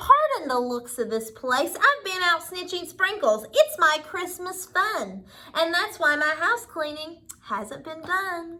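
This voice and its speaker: This put-on character voice moves at a fairly slow pace with hardly any pauses. Its pitch swings very widely and its loudness rises and falls by big amounts. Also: woman, extremely high pitch for a woman. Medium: read story. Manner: folksy, ungrammatical.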